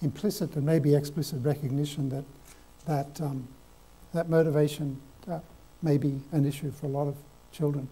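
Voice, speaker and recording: In an Australian accent, the voice comes with a dark, mellow tone, somewhat breathy and fairly even in intonation, at a moderate pace. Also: man. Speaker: professor. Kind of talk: lecture. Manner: halting.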